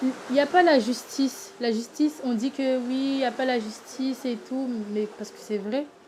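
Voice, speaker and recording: A woman with a high voice talks at a moderate pace, her loudness swinging a lot. Noticeable background noise is heard too. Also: fairly even intonation. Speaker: singing contest candidate. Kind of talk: interview testimony. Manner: halting.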